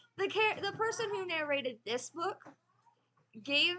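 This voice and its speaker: Raised, projected female voice, bright and sharp in tone. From United States. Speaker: knitting and book vlogger. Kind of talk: casual chat. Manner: casual, with fillers.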